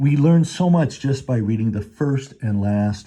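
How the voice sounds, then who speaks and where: Against a quiet background, a man speaks in a dark, mellow, somewhat breathy tone with very wide pitch swings. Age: 60s. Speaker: book commentator. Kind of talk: book review commentary.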